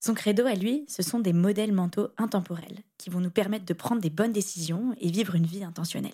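Speaking very fast with hardly any pauses, a woman uses a medium pitch, ordinary pitch variation and a dark, mellow tone that is somewhat breathy. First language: French. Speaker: podcast host. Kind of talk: scripted intro and outro.

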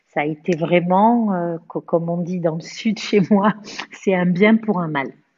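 Speaking very slowly, a woman keeps a fairly low pitch with ordinary pitch variation. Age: 50s. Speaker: cancer survivor. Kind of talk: testimony. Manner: halting.

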